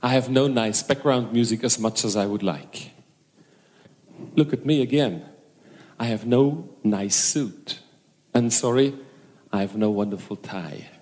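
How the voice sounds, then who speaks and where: A man with a German accent talks at a fairly slow pace, pausing often and at length. His pitch sits in the medium range and varies an ordinary amount. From Germany. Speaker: hypnosis and NLP trainer. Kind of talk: stage talk to seminar audience. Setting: stage with audience. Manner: halting.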